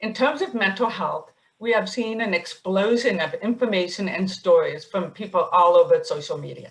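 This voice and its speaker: A woman at a moderate pace, with hardly any pauses. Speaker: psychiatrist and webinar moderator. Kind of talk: webinar moderation. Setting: webinar.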